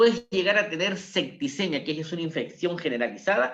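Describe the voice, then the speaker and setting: Speaking at a moderate pace, a man with a high voice uses lively intonation. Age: 70s. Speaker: doctor. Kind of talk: health talk. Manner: conversational.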